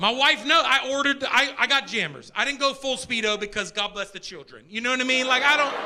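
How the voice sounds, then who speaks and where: Over noticeable background noise, a man with an American accent speaks in a raised, projected voice at an extremely high pitch, racing at a very fast pace with hardly any pauses. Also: ordinary pitch variation. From Pittsburgh, Pennsylvania. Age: 40s. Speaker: stand-up comedian. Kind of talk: live stand-up comedy set. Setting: comedy club stage, live audience. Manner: energetic.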